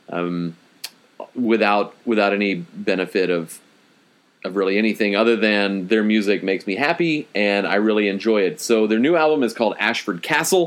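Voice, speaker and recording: Talking at a moderate pace, a man with an ordinary speaking voice and fairly low pitch uses lively intonation. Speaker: podcast host. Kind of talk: casual banter.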